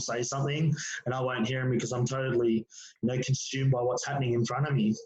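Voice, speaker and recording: Over noticeable background noise, a man with an Australian accent talks at a very fast pace and a fairly high pitch. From Australia, Penrith (western Sydney). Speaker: former touch football player and school teacher. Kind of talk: casual interview chat.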